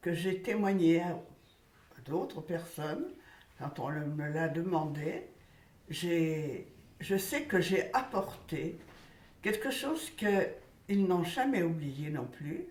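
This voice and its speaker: A woman speaks very slowly with lively intonation and long, frequent pauses. Room echo is audible. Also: fairly low pitch for a woman. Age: 90s. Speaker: elderly witness recounting childhood memories. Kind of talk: testimony.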